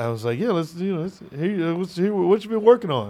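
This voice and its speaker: A man is speaking. His intonation is lively. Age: 30s. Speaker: podcast host. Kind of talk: casual chat. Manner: animated.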